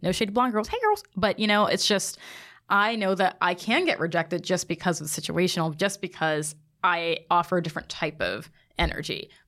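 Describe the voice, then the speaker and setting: A woman's normal speaking voice, medium in pitch, fairly quick, with ordinary pitch variation. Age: 20s. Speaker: podcast guest. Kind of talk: casual chat.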